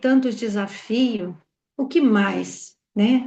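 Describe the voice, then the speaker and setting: A woman speaks very slowly, her voice somewhat breathy. Her pitch is fairly high. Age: 60s. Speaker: pastor and clinical psychologist. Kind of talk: testimony.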